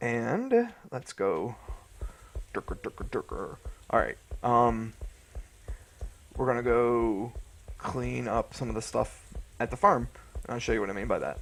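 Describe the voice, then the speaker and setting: A man speaks at a fairly slow pace. His delivery has long, frequent pauses. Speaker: gaming youtuber. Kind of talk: gameplay commentary. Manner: casual, hesitant; mumbling.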